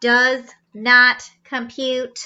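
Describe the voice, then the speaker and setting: A woman's put-on character voice, high-pitched and flat in a monotone. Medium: read story. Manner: flat, mechanical.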